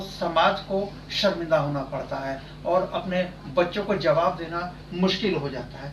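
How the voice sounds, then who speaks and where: A man talks with fairly even intonation, with noticeable background noise behind him. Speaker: TV news editor and interviewer. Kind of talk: news channel interview questions.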